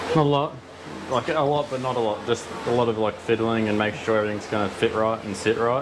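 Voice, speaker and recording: Soft-spoken and very fast, a man talks with an Australian accent at medium pitch. His intonation stays fairly even against noticeable background noise. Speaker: car builder. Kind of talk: casual chat. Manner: fast, slurred.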